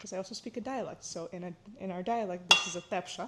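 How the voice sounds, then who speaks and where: Speaking at a fairly quick pace, a woman talks. She has an American accent. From Florida, US, Ukrainian-speaking immigrant family. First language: Ukrainian. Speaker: cooking vlogger, student. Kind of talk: casual cooking vlog talk. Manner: casual, with many fillers.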